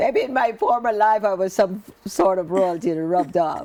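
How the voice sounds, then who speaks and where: A woman with a normal speaking voice talks at a medium pitch and a moderate pace, with ordinary pitch variation. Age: 60s. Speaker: author sharing life story. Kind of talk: interview testimony.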